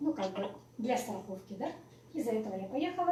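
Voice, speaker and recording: A high-pitched woman at a moderate pace, with audible room echo. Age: 60s. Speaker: network marketing speaker, former pediatrician. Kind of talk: live presentation to audience. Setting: in-person meeting with audience.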